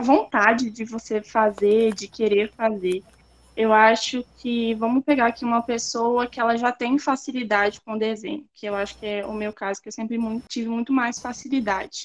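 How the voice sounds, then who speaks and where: A woman speaks in a normal speaking voice at a fairly high pitch and a fairly slow pace. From Espírito Santo, Brazil. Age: 20s. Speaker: artist and university student. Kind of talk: casual interview.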